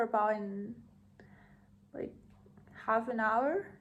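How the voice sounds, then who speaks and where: Speaking in a Thai accent, a woman talks at a fairly high pitch with fairly even intonation. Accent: Thai, non-native English. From Thailand. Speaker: podcaster. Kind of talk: casual monologue. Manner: halting.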